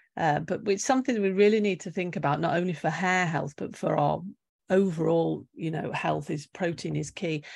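With a British accent, a woman speaks at a fairly quick pace in a fairly low pitch, showing vocal fry and ordinary pitch variation against a quiet background. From UK. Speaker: nutritional therapist. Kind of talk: interview.

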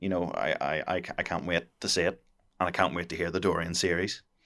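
In a Northern Irish accent, a man with a very deep, low pitch and a bright, sharp tone speaks at a fairly quick pace with fairly even intonation on a very clean recording with a silent background. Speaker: podcast co-host. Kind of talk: casual chat.

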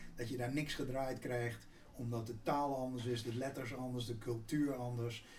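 Somewhat breathy and medium in pitch, a man speaks with monotone, flat intonation amid audible room echo. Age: 60s. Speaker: business executive. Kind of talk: interview.

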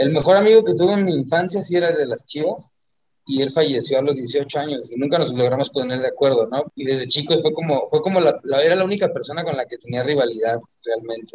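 Somewhat breathy and fairly high in pitch, a man speaks very fast with lively intonation. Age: 40s. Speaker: singer and football fan. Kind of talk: casual chat.

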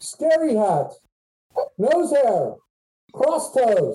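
Bellowing in a put-on character voice, a man pushes his pitch extremely high.

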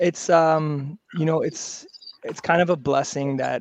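A man's normal speaking voice with a Canadian accent, at a moderate pace, with fairly even intonation. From Vancouver, Canada. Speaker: basketball coach and league commissioner. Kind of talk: casual interview.

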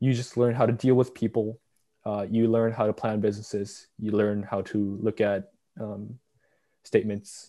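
In a very clean recording with a silent background, a man speaks in a dark, mellow tone with monotone, flat intonation. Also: fairly low pitch for a man, moderate pace. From South Korea. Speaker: university student. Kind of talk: casual interview.

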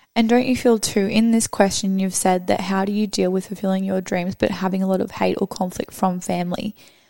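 A woman talks at a moderate pace with a medium pitch, fairly even intonation and a dark, mellow tone. The recording is very clean, with a silent background. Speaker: podcast co-host. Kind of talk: casual chat. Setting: studio.

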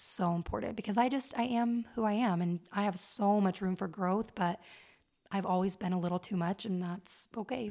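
A woman's medium-pitched voice at a moderate pace, fairly even intonation, on a very clean recording with a silent background. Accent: American. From Las Vegas, Nevada. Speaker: podcast host. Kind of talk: casual chat.

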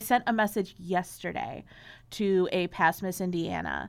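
In a very clean recording with a silent background, a woman with an American accent speaks at a medium pitch with vocal fry and fairly even intonation. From Chicago. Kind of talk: casual interview chat.

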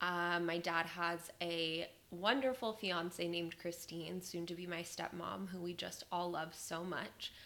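With an American accent, a woman speaks in a bright, sharp tone at a fairly low pitch. Her pace is fairly slow and her intonation fairly even. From Las Vegas, Nevada. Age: 20s. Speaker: podcast host. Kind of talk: casual monologue. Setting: home recording.

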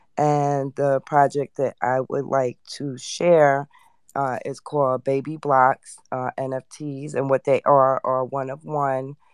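The speaker moves at a fairly slow pace. The background is quiet. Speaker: NFT project team member. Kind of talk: project pitch.

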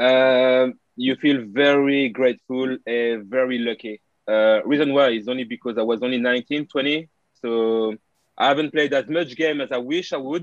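Speaking at a fairly slow pace, a man with a French accent uses a medium pitch and fairly even intonation. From France, Paris area. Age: 30s. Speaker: retired footballer. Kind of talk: interview. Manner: halting.

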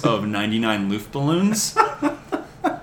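A man with an American accent talks in a fairly high voice against noticeable background noise. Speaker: podcast guest. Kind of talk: casual chat.

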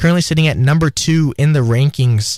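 The man has an ordinary speaking voice, and his pitch varies in an ordinary way. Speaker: student radio sports host. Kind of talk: casual sports talk. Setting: radio studio.

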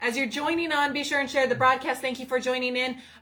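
Raising and projecting her voice, a woman speaks at a high pitch in a bright, sharp tone. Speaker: ministry co-host. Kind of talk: preaching and testimony livestream.

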